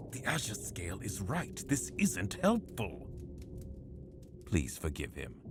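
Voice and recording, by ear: Using a put-on character voice, a man speaks slowly at a low pitch with very wide pitch swings.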